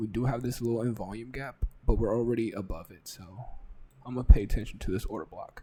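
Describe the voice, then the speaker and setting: Whispering and somewhat breathy, a man talks at a fairly quick pace. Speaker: trading educator. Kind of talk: live market analysis. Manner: casual. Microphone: close to mic, may sound quiet.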